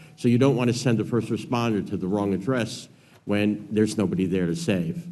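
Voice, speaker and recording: Audible room echo surrounds a man with an American accent whose dark, mellow tone carries lively intonation at a fairly quick pace. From New York, Brooklyn. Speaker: amateur radio organization board member. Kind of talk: testimony. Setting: congressional hearing room.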